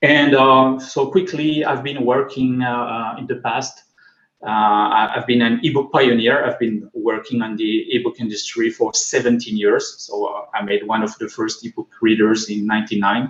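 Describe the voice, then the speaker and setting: This man speaks in a French accent at medium pitch, keeping a moderate pace and fairly even intonation. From France. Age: 40s. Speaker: tech conference speaker. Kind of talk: conference talk. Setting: online video call. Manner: halting, many fillers.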